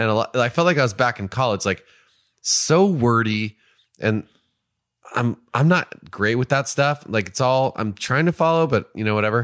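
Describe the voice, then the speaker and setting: An unremarkable speaking voice with an American accent, lively intonation and a moderate pace, dry and close with no echo in a very clean recording with a silent background. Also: man, medium pitch for a man. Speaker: podcast co-host. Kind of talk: casual conversation. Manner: casual, swears.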